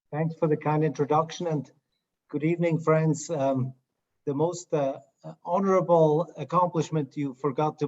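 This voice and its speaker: This man has a Swiss accent and a fairly high pitch. He keeps a moderate pace with fairly even intonation. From Switzerland. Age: 50s. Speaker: chief medical officer and surgeon. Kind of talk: panel conversation.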